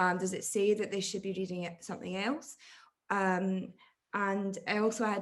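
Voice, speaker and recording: A woman talks with a Scottish accent at a moderate pace. Her pitch is medium. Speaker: academic audience member asking a question. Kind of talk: Q&A question at an online academic talk. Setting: video call. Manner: halting, many fillers.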